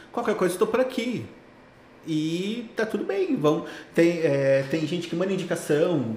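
Over noticeable background noise and audible room echo, a man with a high pitch speaks at a fairly slow pace with lively intonation. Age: 30s. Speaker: tech recruiter. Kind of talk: casual interview.

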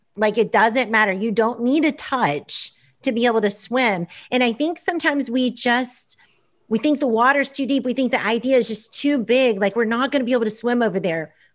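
A woman's high-pitched voice at a fairly quick pace, with ordinary pitch variation, in a very clean recording with a silent background. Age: 40s. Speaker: author and former teacher. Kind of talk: casual interview.

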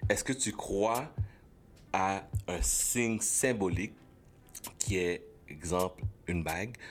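A man speaks in a fairly low pitch with ordinary pitch variation. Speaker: former radio host. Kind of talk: casual chat.

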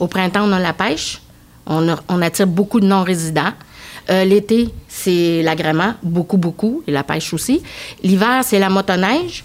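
A normal speaking voice, a woman at a medium pitch with ordinary pitch variation and a fairly slow pace. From Quebec (Thetford Mines), arrived from Egypt at 5. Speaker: tourism agency director. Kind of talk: casual chat.

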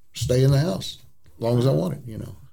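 With ordinary pitch variation, a man speaks in a somewhat breathy voice with a dark, mellow tone. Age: 60s. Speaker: traveling nursing home music minister. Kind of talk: interview storytelling. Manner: halting, many fillers.

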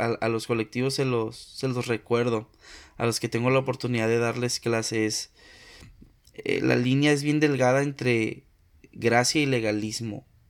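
On a very clean recording with a silent background, a man at a medium pitch speaks in a monotone, flat intonation at a fairly slow pace with long, frequent pauses. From Mexico, Tampico, Tamaulipas. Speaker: podcaster. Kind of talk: casual chat.

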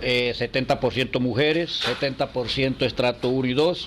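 A man talks in a medium pitch. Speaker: cigar workers' association leader. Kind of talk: interview.

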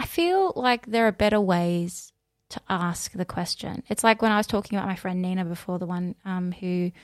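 A woman with an Australian accent speaks at medium pitch in a dry, close sound with no echo. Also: very clean recording, silent background. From Australia, Mildura (country Victoria). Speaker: teacher. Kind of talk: casual chat. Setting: studio.

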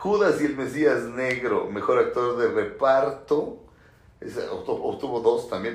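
This man sounds animated while talking at a fairly slow pace. Audible room echo can be heard. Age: 40s. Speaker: film critic and YouTuber. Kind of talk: solo commentary video.

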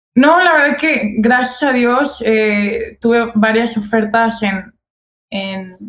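With ordinary pitch variation, a woman talks in a fairly high register. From Guadalajara, Mexico. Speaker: basketball player. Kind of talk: casual interview.

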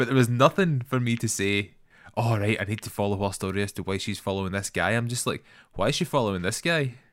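Very fast and fairly low-pitched, a man with a Scottish accent speaks in a very clean recording with a silent background. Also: ordinary pitch variation. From Scotland. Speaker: filmmaker and podcast co-host. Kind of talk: casual chat.

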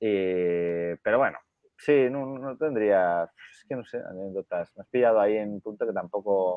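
A man's fairly low voice at a fairly slow pace, with ordinary pitch variation and big swings in loudness. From Spain, Pamplona (Navarre). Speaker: co-founder of a design brand. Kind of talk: interview. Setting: studio with headphones. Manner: halting, frequent repetitions.

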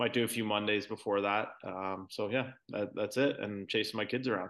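Fairly quick speech comes from a man with a Canadian accent. His pitch sits fairly low. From Canada, Ontario (Brantford). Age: 40s. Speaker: professional golfer. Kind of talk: casual interview.

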